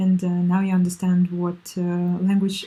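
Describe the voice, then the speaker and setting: A woman with a Russian accent and medium pitch speaks in a dark, mellow, somewhat breathy tone with monotone, flat intonation. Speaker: language learning vlogger. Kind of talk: casual tips monologue. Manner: halting, many fillers.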